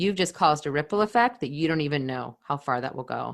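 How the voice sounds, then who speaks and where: On a very clean recording with a silent background, a woman with a Californian accent talks at a moderate pace in a very deep, low pitch with ordinary pitch variation. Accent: General American (Californian). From California, Silicon Valley. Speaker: podcast host. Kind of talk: podcast monologue. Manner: earnest, heartfelt.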